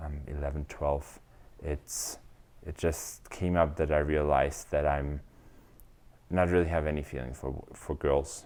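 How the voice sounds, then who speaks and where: A man with a very deep, low pitch speaks in a German accent, fairly slowly, with monotone, flat intonation and long, frequent pauses. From Germany. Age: 30s. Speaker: SAP business consultant. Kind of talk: interview answer.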